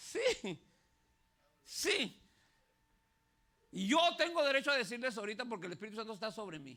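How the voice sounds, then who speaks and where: A man speaks in a raised, projected, high-pitched voice with a bright, sharp, animated tone and very wide pitch swings. His pace is moderate, with big swings in loudness and long, frequent pauses. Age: 60s. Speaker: pastor. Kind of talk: sermon.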